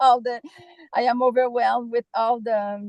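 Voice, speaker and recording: The recording is dry and close, without any echo. The speaker is a woman. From Quebec. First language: French. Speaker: course participant. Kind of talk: Q&A session. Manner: halting.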